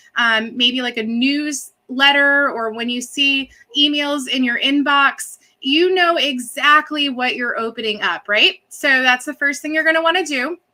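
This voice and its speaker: A woman with an American accent speaks in a high pitch, using a raised, projected voice with a bright, sharp tone. Her pace is fairly slow, and her pitch varies in an ordinary way. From Massachusetts. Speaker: social media coach. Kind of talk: live video tutorial. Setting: live stream.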